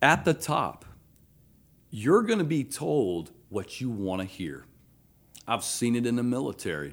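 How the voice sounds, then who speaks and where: A man with a Georgia accent and medium pitch speaks at a fairly slow pace, with very wide pitch swings and long, frequent pauses, on a very clean recording with a silent background. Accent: Southern American (Georgia). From US South, Athens, Georgia. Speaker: retired army officer, veteran. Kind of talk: casual interview. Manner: halting, many fillers.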